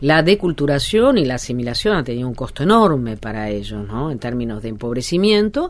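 With a very deep, low pitch and very wide pitch swings, a woman talks at a fairly quick pace against noticeable background noise. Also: hardly any pauses. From Argentina, Alto Valle de Río Negro. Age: 50s. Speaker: sociologist and author. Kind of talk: interview. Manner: hesitant, many fillers.

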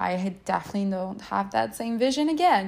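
A normal speaking voice talking at a moderate pace. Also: woman. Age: 30s. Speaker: mindset coach, podcast host. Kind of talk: solo podcast monologue.

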